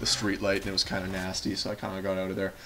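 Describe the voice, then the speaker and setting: A man with a fairly low voice talks at a very fast pace. Noticeable background noise runs underneath. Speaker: gaming commentator. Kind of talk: gameplay commentary monologue. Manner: rambling with many fillers and restarts.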